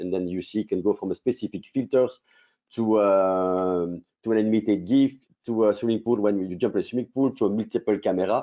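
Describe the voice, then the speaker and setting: A fairly low male voice with a strong French accent and fairly even intonation. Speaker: company co-founder presenting a product. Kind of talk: business webinar presentation. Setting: online webinar. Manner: fast.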